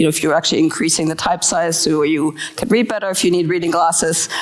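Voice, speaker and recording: Noticeable background noise sits behind a woman speaking at a very fast pace with a German accent. Her pitch is fairly low, with ordinary pitch variation. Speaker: design leader speaking at a conference. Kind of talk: conference talk. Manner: hesitant, many fillers.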